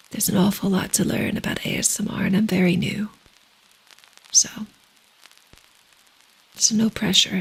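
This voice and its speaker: A soft-spoken woman at a medium pitch and moderate pace, with noticeable background noise. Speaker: ASMR streamer. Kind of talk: ASMR soft talking livestream.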